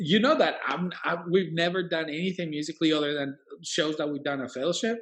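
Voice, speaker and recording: This man speaks with a Colombian accent. His pitch is high, and it varies in an ordinary way. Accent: Colombian Spanish accent, moderate. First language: Spanish. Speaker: worship leader and 3D animator. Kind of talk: casual interview. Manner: animated.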